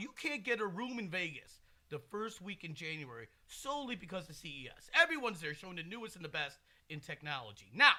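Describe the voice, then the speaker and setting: Raised and projected, a man's high-pitched voice has a bright, sharp tone, very wide pitch swings, big swings in loudness, and a fairly quick pace. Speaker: podcast host. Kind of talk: casual chat.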